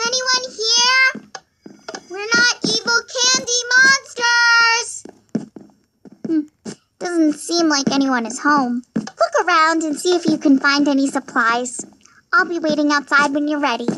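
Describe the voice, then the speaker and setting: A squeaky, put-on character voice sits at an extremely high pitch with very wide pitch swings. It moves at a fairly slow pace with long, frequent pauses. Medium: machinima. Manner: chatty, upbeat.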